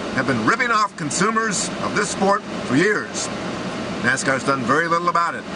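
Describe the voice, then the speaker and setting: Loud background noise behind a man's voice. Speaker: sports commentator. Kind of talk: commentary. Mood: indignant, critical. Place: car. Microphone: phone near.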